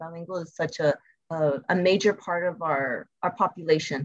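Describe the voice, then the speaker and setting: A woman speaks at a moderate pace in a normal speaking voice, her fairly low pitch moving with ordinary variation. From US Southwest, El Paso, Texas. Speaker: school principal. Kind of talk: interview.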